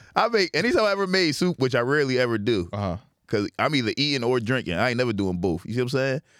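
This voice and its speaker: A man at medium pitch talks at a very fast pace with very wide pitch swings, captured on a very clean recording with a silent background. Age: 30s. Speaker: comedian. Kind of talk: casual chat.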